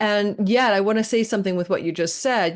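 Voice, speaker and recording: Over a quiet background, a woman with an ordinary speaking voice talks at a fairly quick pace with ordinary pitch variation. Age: 60s. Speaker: astrologer. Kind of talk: podcast interview.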